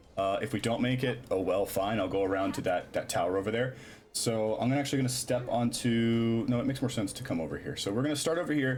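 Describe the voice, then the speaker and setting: Noticeable background noise sits behind a man of medium pitch. He talks very fast with ordinary pitch variation. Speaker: streamer. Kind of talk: casual gameplay commentary. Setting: live stream.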